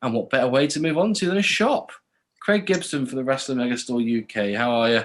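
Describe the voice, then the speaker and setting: A Cornish accent from a man at medium pitch, lively in intonation and very fast in pace. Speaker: podcast host. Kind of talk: interview.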